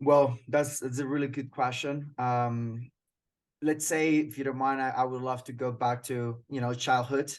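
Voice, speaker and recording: A man's medium-pitched, monotone speech with flat intonation, a Colombian accent and a fairly slow pace against a quiet background. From Colombia (Cucuta, near Venezuelan border). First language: Spanish. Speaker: sales manager. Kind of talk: interview. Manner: halting.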